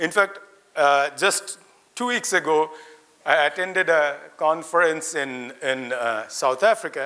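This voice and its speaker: Loud and animated, a man speaks. His pace is fairly slow. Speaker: invited speaker, academic. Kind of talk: ceremonial speech to students. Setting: auditorium with audience, lapel mic. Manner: interactive, animated.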